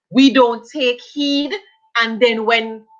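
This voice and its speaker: In a Jamaican accent, a woman speaks at a fairly slow pace. Her pitch is fairly high. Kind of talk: casual live stream discussion.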